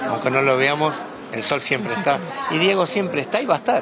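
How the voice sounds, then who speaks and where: A man is talking amid noticeable background noise, and audible room echo can be heard. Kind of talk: interview.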